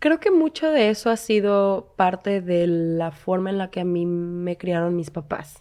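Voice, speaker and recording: Set against a quiet background, an ordinary speaking voice moves at a fairly slow pace with ordinary pitch variation. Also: woman. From Mexico, Cancún. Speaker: actress. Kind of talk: interview. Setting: studio.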